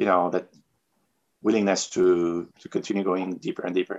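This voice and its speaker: The sound is dry and close with no echo as a man with a very deep, low voice speaks at a moderate pace. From Tunisia. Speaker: professional free diver. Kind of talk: interview. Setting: video call.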